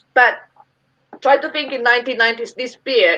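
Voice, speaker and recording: Here a woman talks with an Italian accent. Her tone is bright and sharp. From Italy. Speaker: brewery representative. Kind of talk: interview.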